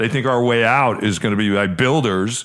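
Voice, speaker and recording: This man has an unremarkable speaking voice, medium in pitch, with ordinary pitch variation at a moderate pace. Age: 50s. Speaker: podcast host and realtor. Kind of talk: casual chat.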